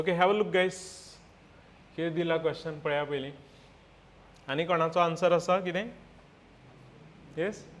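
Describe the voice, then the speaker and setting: A man with a high pitch speaks at a fairly slow pace, with fairly even intonation. He leaves long, frequent pauses, and audible room echo can be heard. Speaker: physics teacher. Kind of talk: classroom lecture.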